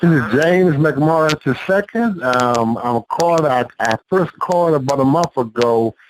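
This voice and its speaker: A man's fairly high voice with lively intonation, fairly slow yet with hardly any pauses, very even in loudness, in a dry, close sound with no echo. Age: 40s. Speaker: caller, author. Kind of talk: phone-in sharing. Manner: halting, many fillers and repetitions.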